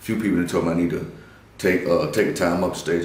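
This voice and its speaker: The speaker talks at a very fast pace with an American accent. The room echo is audible. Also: man. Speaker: comedian. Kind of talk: casual interview.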